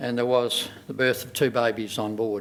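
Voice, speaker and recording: Audible room echo surrounds this man's voice. He has a rural Australian accent and fairly even intonation. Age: 70s. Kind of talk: personal testimony speech. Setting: stage with audience. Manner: halting, many fillers.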